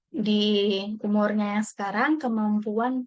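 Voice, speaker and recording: With a Javanese accent, a woman talks in a fairly high pitch with fairly even intonation. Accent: Javanese-tinged Indonesian (medok). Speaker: workshop participant. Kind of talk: personal video monologue. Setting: home recording at night. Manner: casual, with fillers.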